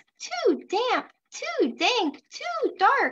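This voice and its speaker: This woman puts on a squeaky character voice pitched extremely high, with very wide pitch swings. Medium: read story.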